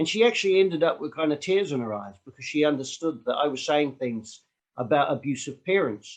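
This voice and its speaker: With a New Zealand accent, a man speaks at a fairly quick clip in a fairly high pitch, his intonation lively. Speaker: street activist. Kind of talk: online Q&A session.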